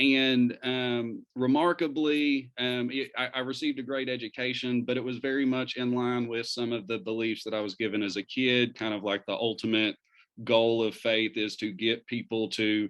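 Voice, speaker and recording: A man with a slight Eastern Kentucky accent, moderate pace and fairly even intonation. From Eastern Kentucky, Pikeville. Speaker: community organizer. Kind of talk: talk to an interfaith group. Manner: hesitant, many fillers.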